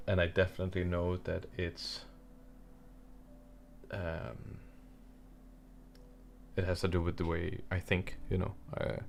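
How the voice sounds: A man mumbles in a low, flat, monotone voice with vocal fry. He talks at a slow pace with long, frequent pauses.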